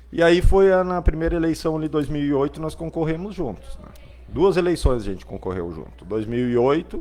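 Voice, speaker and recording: Speaking at a fairly quick pace, a man shows big swings in loudness. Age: 40s. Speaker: local politician, party president. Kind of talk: interview.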